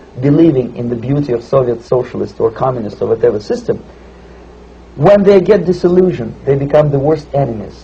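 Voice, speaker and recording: A man with a Russian accent speaks at a fairly high pitch with lively intonation. Noticeable background noise is present. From Russia (Moscow suburb). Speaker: former KGB officer, defector. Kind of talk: interview answer.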